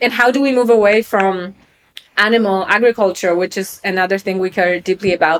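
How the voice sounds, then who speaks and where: A woman talks in a Polish accent at a medium pitch. Her intonation stays fairly even. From Poland, Krakow. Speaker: venture capital investor. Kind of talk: interview.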